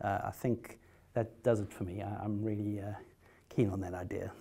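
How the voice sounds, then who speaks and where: With a South African accent, a dark, mellow voice moves at a moderate pace in a flat monotone. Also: man. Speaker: haemophilia patient, trial participant. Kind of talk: conference talk. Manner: hesitant, many fillers and repetitions.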